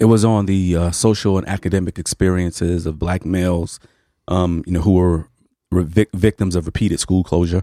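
A man with an American accent speaks at a moderate pace in a very deep, low, dark and mellow voice with monotone, flat intonation. The recording is very clean with a silent background and a dry, close sound with no echo. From New York City (Harlem). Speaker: sociology professor. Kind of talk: radio interview.

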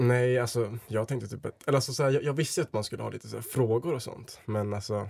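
Somewhat breathy and very fast with hardly any pauses, the voice shows ordinary pitch variation on a very clean recording with a silent background. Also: man, medium pitch for a man. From Sweden, Dalarna (Leksand). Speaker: blind date contestant. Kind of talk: casual chat. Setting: studio. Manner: halting.

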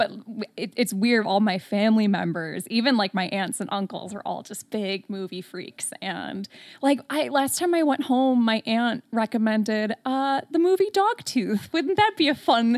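Speaking with an American accent in a plain, everyday voice, the speaker keeps a moderate pace with lively intonation. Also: woman, fairly high pitch for a woman. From US Midwest, Metro Detroit, Michigan. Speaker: horror podcaster. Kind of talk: casual chat.

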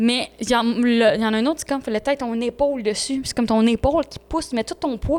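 Speaking at a fairly quick pace with a Quebec accent, a woman has a high pitch and ordinary pitch variation. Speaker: podcast co-host. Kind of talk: casual chat.

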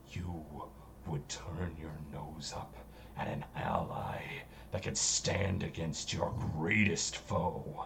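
Whispering in a put-on character voice, the speaker goes at a very slow pace with long, frequent pauses over clear background noise. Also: man. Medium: actual play. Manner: grand, manipulative.

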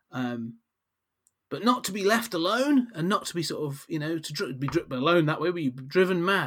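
Speaking at a fairly quick pace with a British accent, a man uses a high pitch and very wide pitch swings. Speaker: podcast host. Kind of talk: casual podcast chat.

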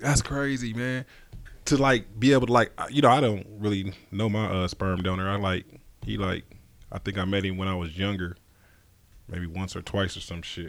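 A man talks at a moderate pace and a fairly low pitch, with ordinary pitch variation. Long, frequent pauses break up his speech in a very clean recording with a silent background. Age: 40s. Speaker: podcast host. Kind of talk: casual interview.

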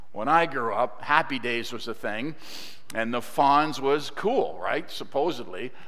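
A man's fairly high, bright, sharp voice at a fairly slow pace with ordinary pitch variation. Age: 60s. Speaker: guest preacher. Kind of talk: sermon. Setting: church.

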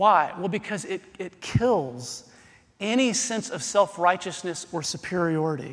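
Lively intonation runs through a man's high-pitched voice. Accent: American. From US South. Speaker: pastor. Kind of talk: sermon. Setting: church.

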